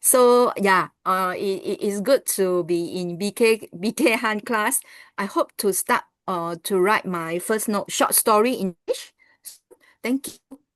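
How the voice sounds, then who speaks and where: A woman with a Chinese accent and fairly high pitch, at a fairly slow pace with ordinary pitch variation, in a dry, close sound with no echo. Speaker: class participant. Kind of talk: self-introduction in online class.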